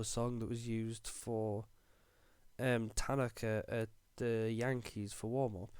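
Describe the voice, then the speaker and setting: A man speaks very slowly with a strong northeast English accent. The recording is very clean, with a silent background. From northeast England. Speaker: podcast co-host. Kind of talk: casual chat.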